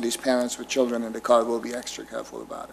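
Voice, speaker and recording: A man's medium-pitched, monotone voice at a very fast pace, flat in intonation, over noticeable background noise. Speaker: applicant representing a congregation. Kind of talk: public meeting presentation. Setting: municipal commission meeting room. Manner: hesitant, repeats words.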